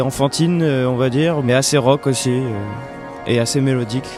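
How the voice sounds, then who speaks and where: Over music in the background, a man talks at medium pitch with fairly even intonation. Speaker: musician and singer. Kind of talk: interview answer. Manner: hesitant, casual.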